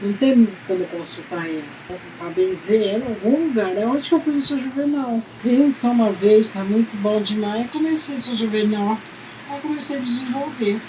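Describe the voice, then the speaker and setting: A woman speaks at a moderate pace with lively intonation and a fairly high pitch. Noticeable background noise runs underneath. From Brazil, Sertãozinho, São Paulo state. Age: 80s+. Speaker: folk healer. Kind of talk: interview. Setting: at home.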